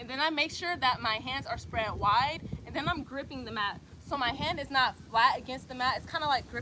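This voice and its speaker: Raised and projected over noticeable background noise, a woman's high voice carries a Southern US accent, lively intonation and a fairly quick pace. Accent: Southern US accent, called country by some. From US South, Atlanta, Georgia. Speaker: yoga instructor. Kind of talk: tutorial. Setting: outdoors, livestream. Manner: casual, conversational.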